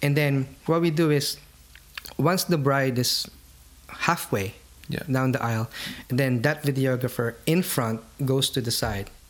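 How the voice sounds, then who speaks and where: Over noticeable background noise, a man with a medium pitch speaks at a fairly slow pace, with ordinary pitch variation and long, frequent pauses. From Philippines. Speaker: wedding videographer. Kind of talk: casual interview.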